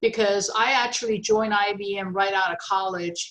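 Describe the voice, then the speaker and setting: A woman with a Chinese accent talks at a fairly slow pace and a medium pitch. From China. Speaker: retired technology executive. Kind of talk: interview. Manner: halting, many fillers.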